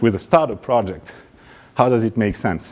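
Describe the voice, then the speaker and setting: Noticeable background noise surrounds this recording. A man speaks at a medium pitch with a French accent. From France, Paris. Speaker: startup founder. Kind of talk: pitch presentation.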